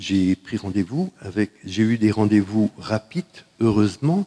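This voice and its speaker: A man speaks at a very slow pace in a dark, mellow tone with ordinary pitch variation. The sound is dry and close, with no echo. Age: 70s. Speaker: cancer survivor. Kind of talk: testimony. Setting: conference with audience. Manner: halting.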